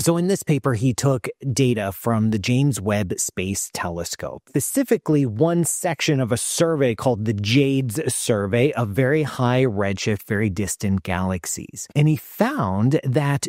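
A man talks at a fairly slow pace with lively intonation, the sound dry with no echo and the background quiet. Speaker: cosmologist host. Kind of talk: commentary. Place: home room. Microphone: studio mic.

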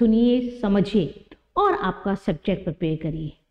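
A woman is speaking. The background is quiet. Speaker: teacher. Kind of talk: lecture.

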